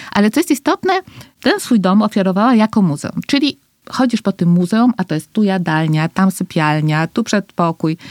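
With a plain, everyday voice, a woman speaks at a moderate pace and medium pitch, lively in intonation and very even in loudness, the sound dry and close with no echo. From Costa Rica. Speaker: foundation president, entrepreneur. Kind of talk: interview conversation.

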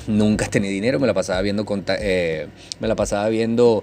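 With music in the background, a man talks at a fairly quick pace in a medium-pitched voice. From Venezuela, Maturín (Monagas). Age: 30s. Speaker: podcast host, network marketer. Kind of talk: casual monologue. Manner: trying to speak calmly, getting livelier.

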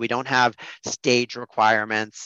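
A man with an American accent, medium pitch, a bright, sharp tone and a moderate pace, in a dry, close sound with no echo and a quiet background. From US Midwest, Des Moines, Iowa. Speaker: venture capital partner. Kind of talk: interview.

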